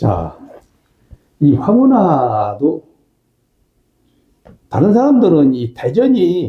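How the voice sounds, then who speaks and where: A man speaks at a very slow pace with very wide pitch swings. His voice is somewhat breathy. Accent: strong Chungcheong. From Chungcheongnam-do, Korea (Dangjin). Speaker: professor, talk show host. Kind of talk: casual chat interview.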